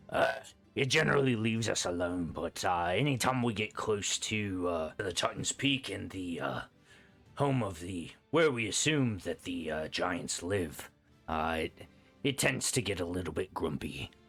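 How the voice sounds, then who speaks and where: A raspy, put-on character voice from a man, very deep and low in pitch, at a moderate pace with music in the background. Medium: actual play.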